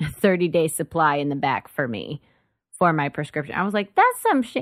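In a normal speaking voice with an American accent, the speaker goes at a moderate pace, the sound dry and close with no echo and the recording very clean with a silent background. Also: woman. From Dallas-Fort Worth, Texas. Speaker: comedian. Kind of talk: casual chat.

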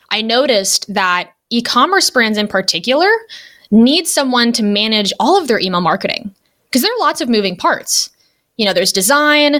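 With a Californian accent, a woman with a fairly high pitch sounds energetic and enthusiastic, her bright, sharp voice making very wide pitch swings at a moderate pace. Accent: General American, Californian. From Los Angeles, US West Coast. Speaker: email marketing strategist and copywriter. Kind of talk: podcast interview. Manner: energetic, enthusiastic.

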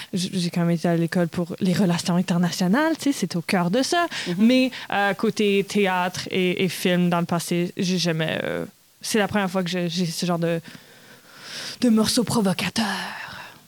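Here a woman speaks at a fairly slow pace and medium pitch. Her pitch varies in an ordinary way. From Manitoba, Canada (Red River Métis). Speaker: stage actress. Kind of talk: interview.

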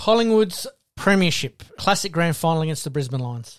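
With an Australian accent, a man talks at a moderate pace with a high pitch and lively intonation. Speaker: podcast host. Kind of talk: casual sports chat. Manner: relaxed, conversational.

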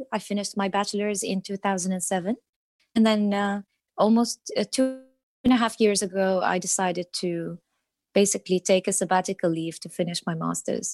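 In an Arabic accent, the speaker talks with fairly even intonation, recorded with a dry, close sound and no echo over a quiet background. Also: woman, medium pitch for a woman, fairly quick pace. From Iraq (Baghdad). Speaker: translator. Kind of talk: interview. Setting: remote call.

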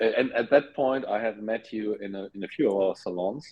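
A man talks at a medium pitch and a moderate pace. It is an ordinary speaking voice with fairly even intonation. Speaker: podcast host. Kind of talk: casual interview conversation. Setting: video call.

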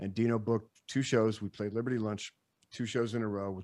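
This man has an American accent and a fairly low pitch. He talks at a fairly quick pace. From Chicago. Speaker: musician, guitar player. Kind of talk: casual interview chat. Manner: animated.

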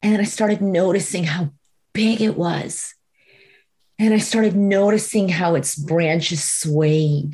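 In an American accent, a woman with a medium-pitched, somewhat breathy voice and a dark, mellow tone speaks at a fairly slow pace, with very even loudness and ordinary pitch variation. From Florida, US. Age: 40s. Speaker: executive coach and spiritual guide. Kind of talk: casual chat.

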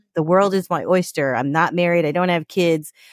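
A woman with an American accent speaks in a fairly low pitch with ordinary variation, a plain, everyday voice. The recording is very clean and dry, with a silent background and no echo. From New York. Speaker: podcast guest. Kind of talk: casual interview.

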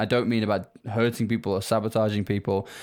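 Speaking at a fairly quick pace, a man with a British accent keeps a monotone, flat intonation. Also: very clean recording, silent background. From UK. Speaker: company founder. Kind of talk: casual interview chat.

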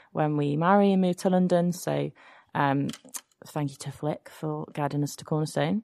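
At a moderate pace, a woman with an English accent speaks at a very deep, low pitch with ordinary pitch variation, in a dry, close sound with no echo and a quiet background. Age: 30s. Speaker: secondary school music teacher. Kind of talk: testimony. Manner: hesitant, many fillers.

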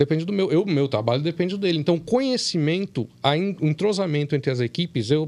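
This man talks very fast, his intonation lively. The background is silent and the recording very clean. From Brazil, São Paulo state (São Paulo / Campinas). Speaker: anesthesiologist. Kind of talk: casual chat.

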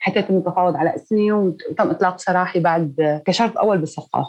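Speaking in a Damascus accent, a woman talks at a moderate pace with medium pitch and ordinary pitch variation. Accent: Damascene Syrian Arabic. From Syria, Douma (Damascus countryside). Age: 30s. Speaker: volunteer paramedic. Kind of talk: testimony.

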